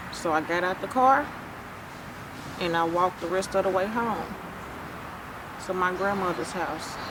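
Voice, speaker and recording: Amid noticeable background noise and audible room echo, a woman at a medium pitch talks at a moderate pace with ordinary pitch variation and long, frequent pauses. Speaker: survivor telling her story. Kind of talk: testimony.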